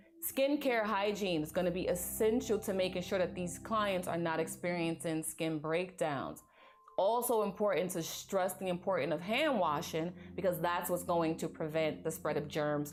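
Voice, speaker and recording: In a room with audible echo, a woman with a fairly low voice and vocal fry talks at a moderate pace with ordinary pitch variation. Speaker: nursing exam review instructor. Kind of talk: lecture. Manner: animated.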